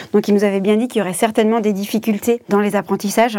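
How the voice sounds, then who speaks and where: A woman talks at a fairly quick pace in an unremarkable speaking voice, medium in pitch, with fairly even intonation. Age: 30s. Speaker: caregiving mother, association employee. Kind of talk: testimony.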